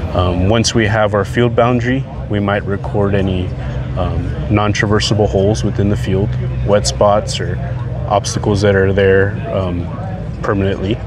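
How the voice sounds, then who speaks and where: A man with a fairly low pitch speaks at a fairly slow pace, the sound dry with no echo but with noticeable background noise. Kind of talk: interview answer. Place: open country. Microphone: lapel.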